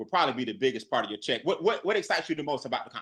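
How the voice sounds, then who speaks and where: The voice has a bright, sharp tone, sounds animated, and rises and falls with lively intonation. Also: man. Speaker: network marketing presenter. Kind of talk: live webinar presentation. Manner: fast.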